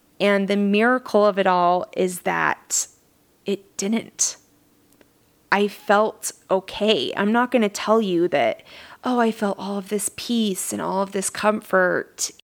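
A woman's medium-pitched voice with an American accent, very slow pace and fairly even intonation. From southern Utah. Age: 30s. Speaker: life coach and podcast host. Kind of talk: casual solo podcast monologue.

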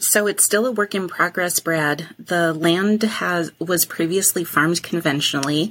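A woman with an American accent has a normal speaking voice, fairly low in pitch, with ordinary pitch variation. She talks at a fairly slow pace, her loudness very even. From Wisconsin. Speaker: farm manager. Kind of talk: interview.

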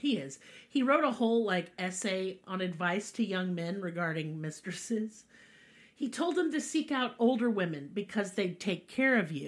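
With an American accent and a medium-pitched voice, a woman talks at a moderate pace in an animated tone, her pitch swinging very widely. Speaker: podcast host. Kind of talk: casual chat, comedic storytelling. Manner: animated, irreverent, profane.

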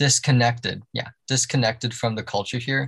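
A somewhat breathy man with a Canadian accent, fairly even intonation and a quiet background. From Canada, Toronto. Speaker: podcast guest. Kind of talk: casual chat.

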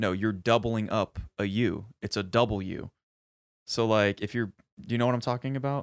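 A man at a moderate pace and fairly low pitch, in a dry, close sound with no echo, on a very clean recording with a silent background. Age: 20s. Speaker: podcast co-host. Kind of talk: casual chat. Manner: animated.

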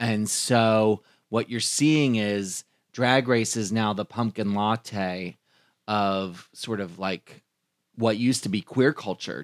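Recorded very cleanly against a silent background with a dry, close sound and no echo, a man with a normal speaking voice talks at a fairly low pitch with ordinary pitch variation. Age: 40s. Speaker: drag performer and event host. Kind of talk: casual chat.

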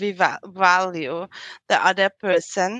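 A woman at medium pitch with a bright, sharp tone, a very slow pace, and a dry, close sound with no echo. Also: quiet background. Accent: slight European. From Austria. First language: German. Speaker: psychological counselor and coach. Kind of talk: interview. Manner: halting, many fillers.

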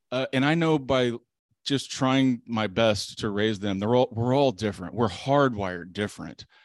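A man with a normal speaking voice and medium pitch talks at a moderate pace with ordinary pitch variation. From southeast Texas, small town. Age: 40s. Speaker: lawyer. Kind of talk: casual chat.

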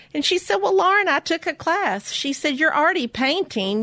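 The pace is fairly quick. Pitch swings very widely. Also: woman. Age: 50s. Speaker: baker and small business owner. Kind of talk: interview.

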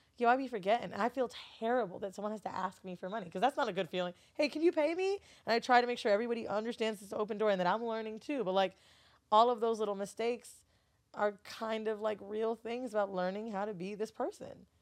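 Talking at a very fast pace, a woman with an American accent has a fairly high pitch and ordinary pitch variation. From Florida. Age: 30s. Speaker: podcast host and studio owner. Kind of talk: casual chat. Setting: studio.

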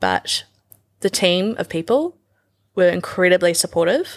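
A woman with a New Zealand accent and a medium pitch speaks at a fairly slow pace with ordinary pitch variation, the sound dry and close with no echo in a very clean recording with a silent background. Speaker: fashion designer and stylist. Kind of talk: casual chat.

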